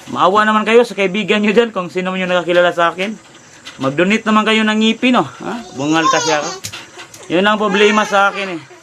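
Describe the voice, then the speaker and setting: A man with a high pitch speaks in a raised, projected voice at a very fast pace. Pitch variation is ordinary, with noticeable background noise. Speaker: vlogger and street vendor. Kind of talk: livestream appeal to viewers. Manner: halting.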